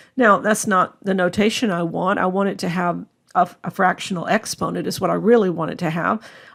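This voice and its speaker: A woman in an unremarkable speaking voice talks at a fairly quick pace, with medium pitch and ordinary pitch variation. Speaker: math instructor. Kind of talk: lecture.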